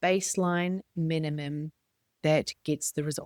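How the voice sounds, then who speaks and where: A woman with a New Zealand accent and ordinary pitch variation, on a very clean recording with a silent background and a dry, close sound with no echo. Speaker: business coach and podcast host. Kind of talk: motivational podcast monologue.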